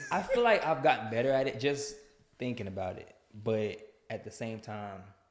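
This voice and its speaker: In an ordinary speaking voice, a man of medium pitch talks at a moderate pace, his pitch varying in an ordinary way while his loudness swings widely. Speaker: podcast co-host, athlete and coach. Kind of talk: casual chat.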